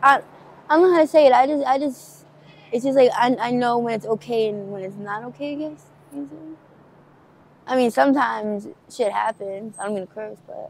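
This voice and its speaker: A woman speaks with big swings in loudness. The sound is dry, with no echo. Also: ordinary pitch variation. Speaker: interviewee. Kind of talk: interview answer. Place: street. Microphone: phone near.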